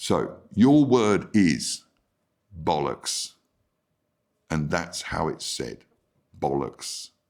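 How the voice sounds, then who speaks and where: The speech moves at a very slow pace with long, frequent pauses, vocal fry, and very wide pitch swings. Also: man, very deep, low pitch for a man. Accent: British. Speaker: English teacher. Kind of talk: tutorial. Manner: clear, deliberate.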